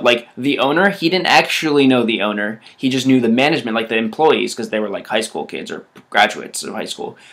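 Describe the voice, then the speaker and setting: Lively intonation marks a man's plain, everyday voice. He talks at a fairly quick pace. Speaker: vlogger. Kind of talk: casual vlog monologue.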